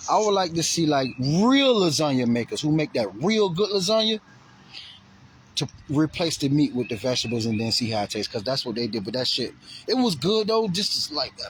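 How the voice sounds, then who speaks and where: A man talks at a fairly quick pace in a fairly high pitch, his animated voice swinging very widely up and down. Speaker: vlogger. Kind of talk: casual vlog monologue. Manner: fast.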